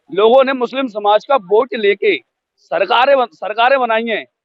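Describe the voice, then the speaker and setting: A man talks at a moderate pace. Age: 20s. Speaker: political party official. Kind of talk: street interview.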